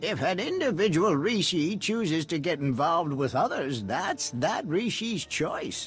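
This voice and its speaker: A put-on character voice speaks at a moderate pace over clear music in the background. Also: man. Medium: video game. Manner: calm, measured.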